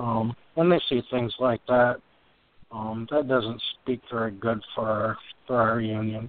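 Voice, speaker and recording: At a fairly slow pace, a man talks in a normal speaking voice with fairly even intonation. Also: medium pitch for a man. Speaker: co-host.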